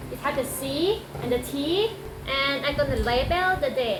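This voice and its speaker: A woman with a Thai accent swings her pitch very widely. Audible room echo and noticeable background noise fill the recording. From Thailand. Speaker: medical technologist and streamer. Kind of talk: tutorial. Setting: at home, cut from a live stream.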